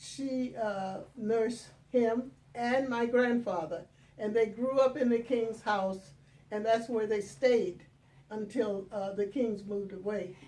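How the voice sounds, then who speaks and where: A woman with a dark, mellow tone, fairly high pitch, ordinary pitch variation and a very slow pace. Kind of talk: interview answer.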